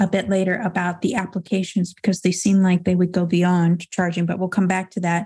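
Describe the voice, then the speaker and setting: This woman's voice sits at a medium pitch and is somewhat breathy. The recording is very clean, with a silent background. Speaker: podcast host. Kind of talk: interview. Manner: enthusiastic.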